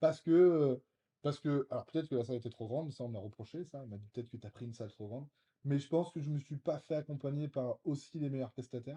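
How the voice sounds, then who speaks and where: Very fast speech from a man, fairly high in pitch, somewhat breathy, with a dark, mellow tone. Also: ordinary pitch variation, big swings in loudness. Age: 30s. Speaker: real estate investor and short-term rental specialist. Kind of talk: interview conversation. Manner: hesitant, many fillers.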